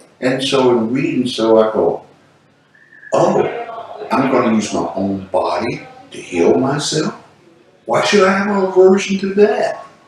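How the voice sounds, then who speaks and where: Speaking at a fairly high pitch with very wide pitch swings, a man moves at a fairly slow pace with long, frequent pauses. Noticeable background noise and audible room echo fill the recording. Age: 60s. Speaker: patient, military retiree. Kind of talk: testimony. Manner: casual, conversational.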